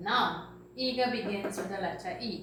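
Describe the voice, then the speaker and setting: A woman with a Trinidadian accent speaks amid noticeable background noise and audible room echo. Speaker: teacher. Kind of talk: lesson for children.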